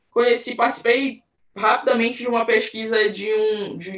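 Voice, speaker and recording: This woman has an unremarkable speaking voice with a fairly high pitch. Her intonation stays fairly even. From Belém, Pará, northern Brazil. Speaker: anthropologist. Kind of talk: interview.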